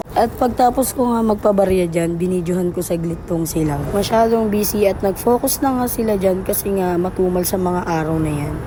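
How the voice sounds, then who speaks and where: Over noticeable background noise, a woman talks at a fairly quick pace and medium pitch, with ordinary pitch variation and hardly any pauses. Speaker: vlogger and street food worker. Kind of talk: vlog voice-over narration. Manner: casual, chatty.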